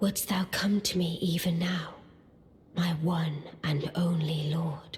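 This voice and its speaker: A put-on character voice sits at a middle pitch. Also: fairly slow pace. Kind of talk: archaic formal speech. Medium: video game. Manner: measured, regal.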